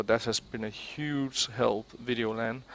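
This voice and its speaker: The speaker is a man with a Danish accent. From Denmark. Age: 20s. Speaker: gaming YouTuber. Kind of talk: casual monologue. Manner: halting, with many repeated words.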